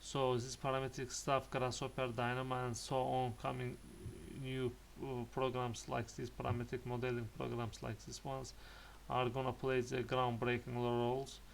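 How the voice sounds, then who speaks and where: With a non-native accent, a man speaks at a moderate pace. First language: not English. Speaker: architect and parametric design YouTuber. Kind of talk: casual talk to camera, portfolio presentation. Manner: halting, many hesitations and repetitions.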